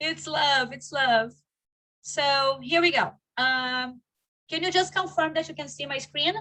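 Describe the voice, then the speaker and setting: A woman's raised, projected voice, high, bright and sharp, at a fairly slow pace with long, frequent pauses. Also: ordinary pitch variation. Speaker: online course coach. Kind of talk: live online workshop. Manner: animated.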